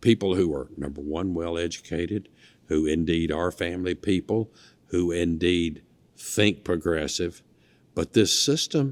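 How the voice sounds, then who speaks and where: In a very clean recording with a silent background, a man with a Mississippi accent speaks at a fairly slow pace. His pitch is very deep and low, with ordinary pitch variation. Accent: Mississippi Southern. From US South, northeast Mississippi (Lee County). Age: 60s. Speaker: former state legislator. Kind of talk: interview. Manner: animated.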